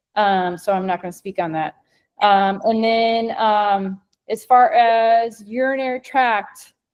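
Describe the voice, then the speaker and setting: A woman talks with a slight Midwestern American accent. Her pitch varies in an ordinary way. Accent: Midwest American, slight. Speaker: scientist and company co-founder. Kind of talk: educational webinar presentation.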